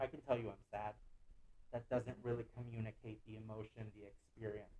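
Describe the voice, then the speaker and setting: A somewhat breathy man at a moderate pace. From Guatemala City, raised in the US from age four. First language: Spanish. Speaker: visual artist. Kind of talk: artist lecture. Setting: online lecture.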